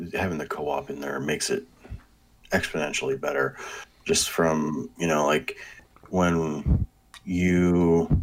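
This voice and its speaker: With a very deep, low pitch, a man talks at a fairly slow pace and with fairly even intonation. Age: 30s. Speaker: video game podcast guest. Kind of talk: casual chat.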